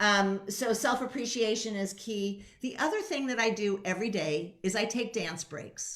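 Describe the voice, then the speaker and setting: A woman's unremarkable speaking voice at fairly high pitch, with ordinary pitch variation, a moderate pace and hardly any pauses. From San Francisco, US West Coast. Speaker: leadership coach. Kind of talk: radio interview.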